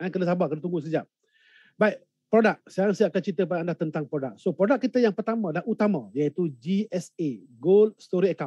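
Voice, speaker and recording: Talking at a very fast pace, a man with a high pitch and a dark, mellow tone shows ordinary pitch variation, recorded dry with no echo against a quiet background. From Malaysia. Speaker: event emcee and gold investment business leader; event emcee. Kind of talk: online webinar hosting. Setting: live online broadcast from a hotel or remote location. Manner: animated. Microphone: video call.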